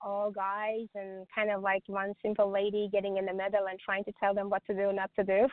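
Talking at a moderate pace, a woman has a plain, everyday voice at a medium pitch. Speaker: medium and author. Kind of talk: casual interview. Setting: radio show with phone-in.

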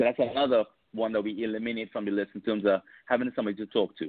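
A man speaks at a very fast pace in a medium pitch, his intonation fairly even. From Trinidad and Tobago. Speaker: author and life coach. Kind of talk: casual chat.

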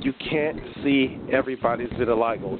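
Noticeable background noise sits behind the recording. A man talks at a medium pitch. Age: 40s. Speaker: podcast host. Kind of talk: interview, casual chat.

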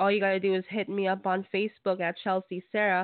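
A woman talks at a fairly quick pace with medium pitch. She has a plain, everyday voice. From Canada. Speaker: radio host. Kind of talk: radio hosting. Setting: phone call.

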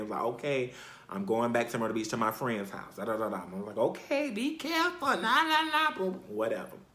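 A man speaks at a fairly quick pace in an animated tone with an American accent over noticeable background noise. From South Carolina. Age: 30s. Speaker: podcast host. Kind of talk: personal storytelling.

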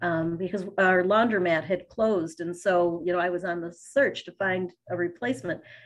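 A woman's unremarkable speaking voice at a medium pitch, with ordinary pitch variation, against a quiet background. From Fairport, near Rochester, New York. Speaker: local tourism partnership representative. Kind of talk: interview.

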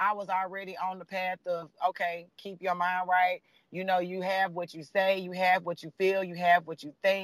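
A man speaks in a raised, projected voice. His pitch is high and his tone bright and sharp. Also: dry, close sound with no echo. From Nashville, Tennessee. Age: 20s. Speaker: coaching client sharing story. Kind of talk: casual interview, testimony.

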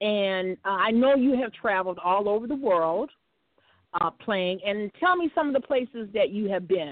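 A woman with an American accent speaks at a moderate pace, her medium pitch carried by lively intonation in an unremarkable speaking voice. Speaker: internet radio host. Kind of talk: casual chat.

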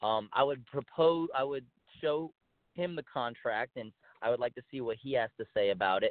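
With an American accent, a man speaks in an unremarkable speaking voice at a medium pitch, moderate pace and ordinary pitch variation. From El Paso, Texas. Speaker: professional wrestler. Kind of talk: interview.

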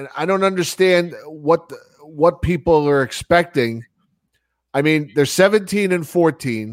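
A man talks very slowly with long, frequent pauses. His voice is fairly high, with ordinary pitch variation. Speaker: radio show host. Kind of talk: casual chat.

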